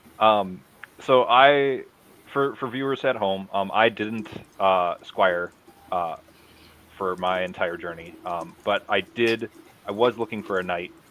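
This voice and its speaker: Over noticeable background noise, a man with an American accent speaks at a fairly slow pace in a fairly low voice, with ordinary pitch variation and long, frequent pauses. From US Midwest, Madison, Wisconsin. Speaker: combat martial artist. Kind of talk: casual interview.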